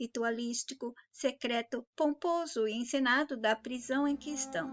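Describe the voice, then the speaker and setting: The pace here is fairly slow. It's a woman, and her voice sits high. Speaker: spiritual channel host. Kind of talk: spiritual monologue.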